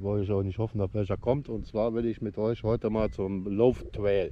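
In an ordinary speaking voice, the speech moves at a moderate pace with fairly even intonation and a dry sound with no echo. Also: man. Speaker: cycling vlogger. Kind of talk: casual vlog chat. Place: open country. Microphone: phone near.

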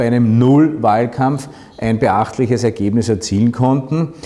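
A man speaks at a fairly slow pace. His intonation is fairly even. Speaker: local mayor. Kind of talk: interview answer. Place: office.

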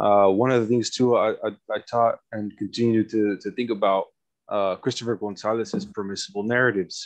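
Against a quiet background, a man with an American accent speaks at a fairly quick pace in a monotone, flat intonation. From US, Mexican American. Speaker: PhD student and poet. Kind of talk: academic interview. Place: home room. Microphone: headset.

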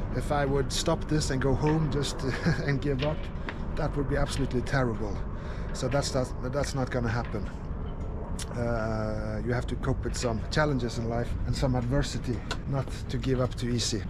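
Loud background noise fills the recording. The speech has long, frequent pauses. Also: man, moderate pace. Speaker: solo sailor vlogger. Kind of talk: casual vlog chat. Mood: upbeat, determined. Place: waterside. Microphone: phone near.

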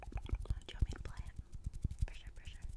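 A soft-spoken woman whispering at a very fast pace. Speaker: ASMR creator. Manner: soft close-mic ASMR whisper. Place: home room. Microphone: studio mic.

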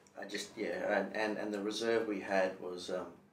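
With a fairly low pitch and monotone, flat intonation, a man speaks at a moderate pace amid audible room echo and light background noise. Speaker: real estate agent. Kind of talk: interview answer. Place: meeting room. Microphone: camera far.

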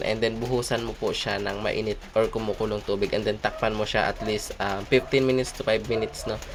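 Amid noticeable background noise, a man of medium pitch talks fairly quickly with fairly even intonation. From Oriental Mindoro, Philippines. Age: young. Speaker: folk healer. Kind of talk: tutorial. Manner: hesitant, many fillers.

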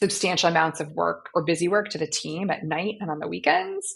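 Against a quiet background, a woman talks at a fairly quick pace in a fairly low voice with ordinary pitch variation. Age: 40s. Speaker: startup founder and CEO; podcast guest. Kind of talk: interview. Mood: warm, reflective. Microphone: video call.

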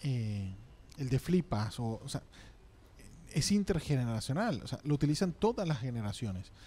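At a moderate pace, a man with a dark, mellow, somewhat breathy voice speaks with very wide pitch swings and long, frequent pauses. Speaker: radio host. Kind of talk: casual chat. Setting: studio. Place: studio. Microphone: studio mic.

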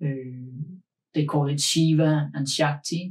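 Very slow, somewhat breathy speech from a man, flat and monotone. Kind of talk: interview answer. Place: studio.

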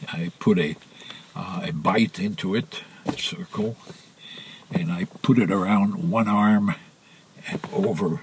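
With noticeable background noise behind him, a man of medium pitch talks at a fairly slow pace, using very wide pitch swings and long, frequent pauses. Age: 80s+. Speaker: sailor. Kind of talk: interview answer.

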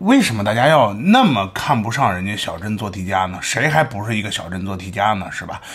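Music plays in the background as the speech runs at a fairly quick pace with hardly any pauses. Loudness swings widely while pitch variation stays ordinary. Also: man, fairly low pitch for a man. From China. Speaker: commentary vlogger. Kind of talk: casual commentary monologue. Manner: animated. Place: home room. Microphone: studio mic.

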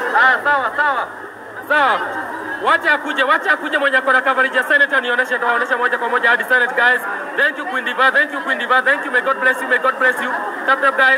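An extremely high-pitched man's raised, projected voice with fairly even intonation, crowd noise behind it. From Kenya. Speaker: livestreamer covering protests. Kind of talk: live streaming commentary. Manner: fast, repetitive. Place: street. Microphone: phone near.

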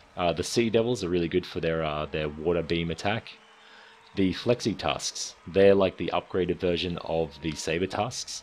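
At a moderate pace, a man with an Australian accent speaks in a very deep, low voice with ordinary pitch variation. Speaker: gaming YouTuber. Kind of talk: casual game guide commentary.

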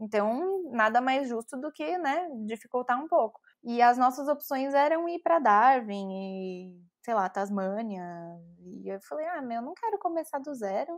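A woman with a São Paulo accent speaks at a high pitch and a fairly slow pace, with very wide pitch swings. Her loudness swings widely against a quiet background. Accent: Paulistano Brazilian Portuguese. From São Paulo, Brazil. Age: 30s. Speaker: advertising professional. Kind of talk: podcast interview answer. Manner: chatty storyteller.

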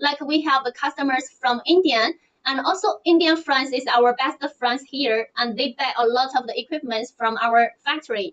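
Ordinary pitch variation comes with a moderate pace of speech. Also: woman. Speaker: presenter. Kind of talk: livestream product presentation. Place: home room. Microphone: earbuds.

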